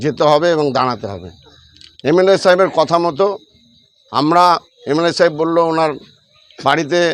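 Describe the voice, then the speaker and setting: A man speaks in an unremarkable speaking voice, fairly high in pitch, with ordinary pitch variation. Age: 50s. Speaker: local party worker. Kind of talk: news interview statement.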